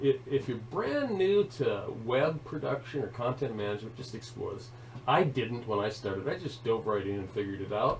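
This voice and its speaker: Over noticeable background noise, a man speaks at a moderate pace, his medium pitch showing ordinary variation. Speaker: instructor training web content staff. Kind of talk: tutorial. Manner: hesitant with fillers.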